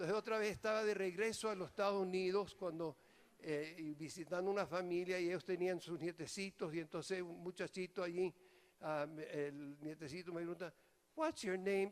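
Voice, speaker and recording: Pitch moves up and down in an ordinary way. The speed is moderate. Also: man. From New York, Venezuelan immigrant parents; raised between Venezuela and US. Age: 80s+. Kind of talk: homily. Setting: priests' retreat.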